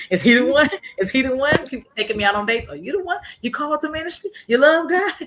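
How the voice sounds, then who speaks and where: The speaker talks at a very fast pace in an animated tone with very wide pitch swings, against noticeable background noise. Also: woman, high pitch for a woman. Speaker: testimony guest on a faith broadcast. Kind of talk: testimony.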